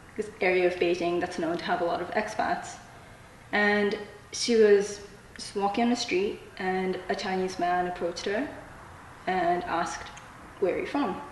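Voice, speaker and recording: In a room with audible echo and noticeable background noise, a woman speaks at a moderate pace and medium pitch. Her intonation is fairly even, and she takes long, frequent pauses. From Japan and Malaysia. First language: Japanese. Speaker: student writer. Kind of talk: interview.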